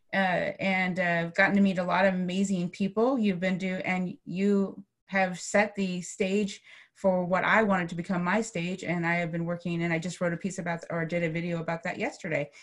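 Against a quiet background, a woman speaks in a somewhat breathy voice. Her intonation is monotone and flat. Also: moderate pace. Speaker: coach, interview host. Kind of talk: interview host introduction. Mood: warm, grateful. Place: home room. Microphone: video call.

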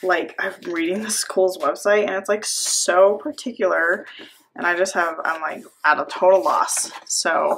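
Woman at a fairly slow pace with ordinary pitch variation, over light background noise. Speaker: planner hobby vlogger. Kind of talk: casual vlog chat.

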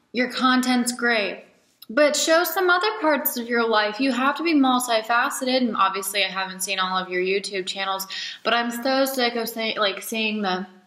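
Over a quiet background with audible room echo, a woman talks at a moderate pace. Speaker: new vlogger. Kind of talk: casual vlog chat. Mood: playful, candid. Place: home room. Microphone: webcam.

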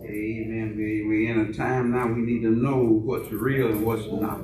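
A man speaks with music in the background and audible room echo. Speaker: pastor. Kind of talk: sermon. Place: church.

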